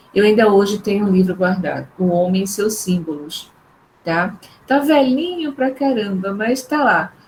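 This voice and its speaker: Amid noticeable background noise, a woman speaks at a fairly slow pace. Her pitch is medium and her intonation lively. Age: 60s. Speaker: psychologist, neuropsychologist, professor. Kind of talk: online talk.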